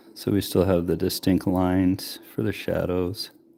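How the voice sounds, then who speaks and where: This man mumbles in a very deep, low voice with a dark, mellow tone. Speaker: miniature painter streamer. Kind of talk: live painting tutorial. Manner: mumbling; hums while working.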